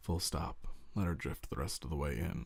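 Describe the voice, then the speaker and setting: In a put-on character voice, a man speaks quietly and gruffly at a very deep, low pitch and a moderate pace. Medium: read story. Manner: curt, commanding.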